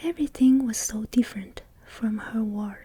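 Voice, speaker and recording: A woman whispers softly at a fairly slow pace. There is noticeable background noise. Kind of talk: bedtime story reading, ASMR. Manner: soft-spoken, whispered.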